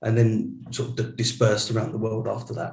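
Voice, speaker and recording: A man speaks with an English accent. His voice is somewhat breathy. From England. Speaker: data center executive. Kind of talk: interview.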